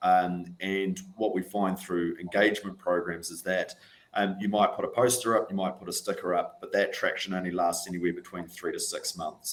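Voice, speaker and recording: The speaker, with a New Zealand accent, talks with hardly any pauses. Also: man, moderate pace. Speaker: NHS estates sustainability manager. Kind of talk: panel discussion. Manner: hesitant, many fillers.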